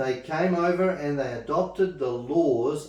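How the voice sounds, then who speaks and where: A man's voice with ordinary pitch variation, in a room with audible echo. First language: not English. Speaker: Bible study teacher. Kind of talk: Bible study class. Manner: halting.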